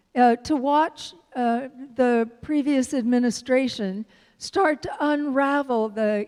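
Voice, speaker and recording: Speaking very slowly with an American accent, a woman uses a high voice and ordinary pitch variation. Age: 70s. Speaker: minister. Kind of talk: sermon. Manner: animated.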